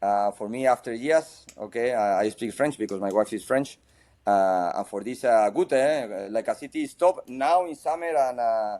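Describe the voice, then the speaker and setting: A man with a Spanish accent speaks at a moderate pace and a medium pitch, his tone dark and mellow. His intonation is lively, and the recording is very clean with a silent background. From Spain. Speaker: football coach. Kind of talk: interview. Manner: halting.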